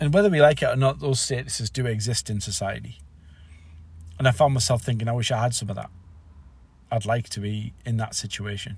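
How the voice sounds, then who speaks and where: A man with an English accent talks at a fairly quick pace, his voice somewhat breathy. Long pauses break up his speech frequently. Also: medium pitch for a man, ordinary pitch variation. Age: 40s. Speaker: podcaster. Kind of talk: solo reflective monologue. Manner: halting.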